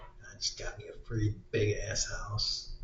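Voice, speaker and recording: The voice is quiet. It belongs to a man. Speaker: political commentary YouTuber. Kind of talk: casual rant.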